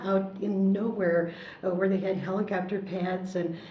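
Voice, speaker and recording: With an American accent, a woman talks at a moderate pace and medium pitch, with noticeable background noise and audible room echo. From US Midwest, Chicago. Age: 60s. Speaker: war veteran, former entertainer. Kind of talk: oral history interview. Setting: library.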